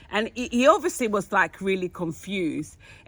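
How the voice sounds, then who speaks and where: This woman talks at a fairly quick pace. She speaks with a London accent. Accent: British, London. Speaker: podcast co-host. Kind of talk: casual chat, storytelling.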